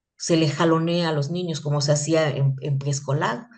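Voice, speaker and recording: A woman talks at a fairly slow pace in a very deep, low pitch. Room echo is audible around her voice. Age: 60s. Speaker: teacher. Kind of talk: lecture. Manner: animated; halting.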